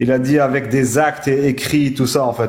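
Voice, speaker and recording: At a fairly slow tempo, a man speaks in a medium pitch. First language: not French (speaking French). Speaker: debate participant. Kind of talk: heated debate. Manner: halting.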